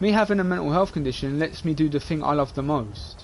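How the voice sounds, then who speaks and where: A man talks with a London accent. His intonation is lively. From England, London (Dagenham). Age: 20s. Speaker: gaming streamer. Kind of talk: casual live-stream monologue. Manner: rambling, repetitive.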